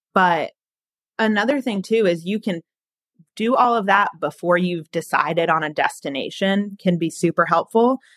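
In a very clean recording with a silent background and a dry, close sound with no echo, a woman of medium pitch talks at a moderate pace in an unremarkable speaking voice with ordinary pitch variation. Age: 20s. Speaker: recent college graduate with food allergies. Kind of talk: casual interview.

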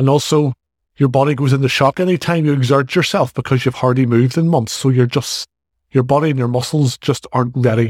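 In a Northern Irish accent, the speaker talks at a fairly quick pace with fairly even intonation, recorded very cleanly against a silent background with a dry, close sound and no echo. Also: man, medium pitch for a man, very even loudness. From Northern Ireland. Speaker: fitness coach and podcast host. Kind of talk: solo podcast monologue.

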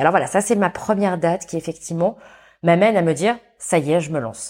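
On a very clean recording with a silent background, a woman with a very deep, low pitch speaks with ordinary pitch variation. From France, Saint-Étienne. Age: 40s. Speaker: entrepreneur and consultant. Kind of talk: interview. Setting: studio. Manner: halting.

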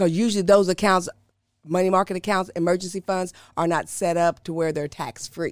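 A woman talks at a fairly quick pace in a monotone, flat intonation. The recording is very clean, with a silent background and a dry, close sound with no echo. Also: medium pitch for a woman. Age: 50s. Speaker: financial advisor, former respiratory therapist. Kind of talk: casual interview, explaining finances.

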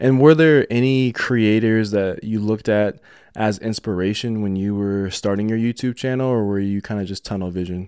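The speaker has an American accent and fairly even intonation, heard on a very clean recording with a silent background. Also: man, fairly low pitch for a man. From Denver, US. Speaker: podcast host. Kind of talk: casual interview chat. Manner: fast talker.

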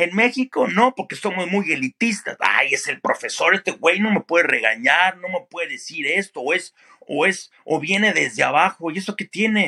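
A man speaks in a raised, projected voice with a high pitch and a bright, sharp tone. His intonation is lively, his pace moderate with hardly any pauses, and the sound is dry and close with no echo. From Mexico City area. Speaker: sports broadcaster. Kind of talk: interview.

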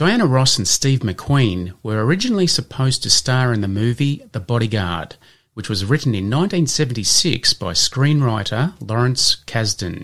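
A man with a plain, everyday voice speaks at a fairly slow pace and medium pitch, his intonation lively, on a very clean recording with a silent background. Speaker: podcast host. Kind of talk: scripted educational podcast with quiz.

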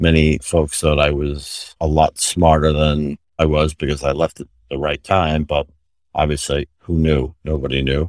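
A man with an American accent, very deep and low in pitch, at a fairly slow pace with flat, monotone intonation, in a dry, close sound with no echo and a very clean recording over a silent background. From New York City. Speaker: retired healthcare executive. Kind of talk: interview.

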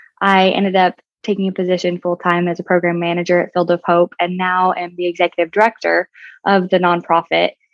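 A woman talks at a fairly quick pace in a medium pitch. She has an unremarkable speaking voice. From southeastern Colorado. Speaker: horse business marketing manager. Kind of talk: interview.

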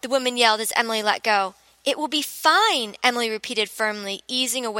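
Reading aloud, plainly

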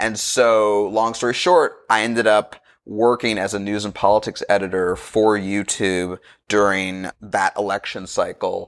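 Speaking slowly-ish in a fairly low pitch, a man with an American accent keeps his intonation fairly even. The recording is very clean, with a silent background. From Los Angeles, California (Inglewood, Santa Monica). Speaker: screenwriter. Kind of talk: casual interview chat.

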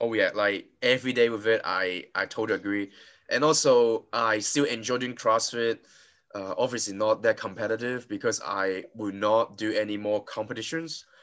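Delivered at a moderate pace, this is a plain, everyday voice with fairly even intonation. The background is quiet. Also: man, medium pitch for a man. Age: 20s. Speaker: podcast host and CrossFit coach. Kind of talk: casual interview.

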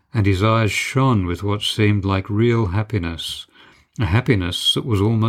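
The clip features an unforced reading voice.

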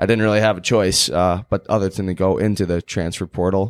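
A normal speaking voice from a man with an American accent, fairly low in pitch, at a moderate pace with fairly even intonation, in a very clean, silent-background recording with dry, close sound and no echo. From Chicago, US. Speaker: college hockey player. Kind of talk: casual interview.

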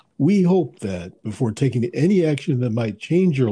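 This man's voice has a medium pitch, very wide pitch swings, a dark, mellow tone and a somewhat breathy quality, delivered at a moderate pace. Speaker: lawyer podcast co-host. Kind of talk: casual professional discussion.

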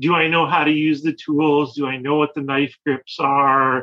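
Speaking fairly slowly in a Chicago accent, this voice keeps a fairly even intonation. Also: man. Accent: Chicago-area American. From US Midwest, Chicago suburbs. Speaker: spoon carver. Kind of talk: casual chat.

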